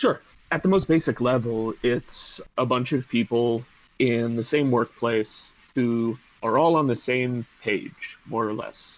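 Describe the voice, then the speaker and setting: A man with an American accent speaks at a fairly slow pace in a normal speaking voice. His pitch sits in the medium range and varies in an ordinary way. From Pittsburgh, US. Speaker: PhD student and labor organizer. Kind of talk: podcast interview.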